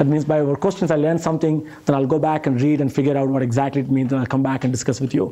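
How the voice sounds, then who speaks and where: A man with a strong Indian accent talks at a fairly high pitch. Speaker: professor. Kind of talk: lecture.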